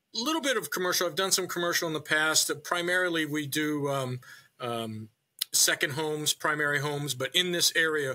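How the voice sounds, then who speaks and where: A man's fairly high, bright, sharp voice with ordinary pitch variation and a slight New Hampshire accent. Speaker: town manager and real estate broker. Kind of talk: casual interview.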